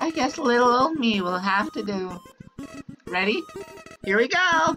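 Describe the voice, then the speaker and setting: A female-sounding put-on character voice, high-pitched, speaks at a moderate pace with faint music behind it. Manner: upbeat, sugary.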